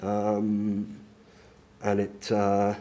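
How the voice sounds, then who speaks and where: A man with an Australian accent speaks at a fairly low pitch. His tone is dark and mellow. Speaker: head and neck cancer survivor. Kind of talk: testimony. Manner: halting, many fillers; talkative.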